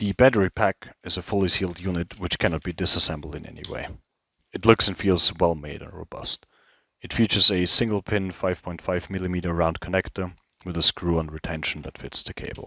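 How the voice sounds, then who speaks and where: A man with a very deep, low pitch and a bright, sharp tone talks at a fairly quick pace with fairly even intonation and big swings in loudness. The recording is very clean with a silent background, dry and close with no echo. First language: not English. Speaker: product reviewer, former infantry soldier, airsoft player. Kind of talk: product review.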